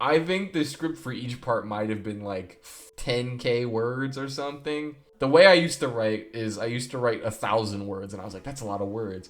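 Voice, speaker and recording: A man speaks in an animated tone with lively intonation, a medium pitch and big swings in loudness. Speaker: YouTuber. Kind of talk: casual rant about own videos. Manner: fast.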